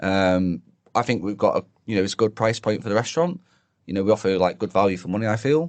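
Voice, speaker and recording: Against a quiet background, a man with a strong British accent talks at a fairly quick pace, his medium-pitched voice carrying lively intonation. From northern England. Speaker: chef. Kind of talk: podcast interview answer. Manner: casual, hesitant.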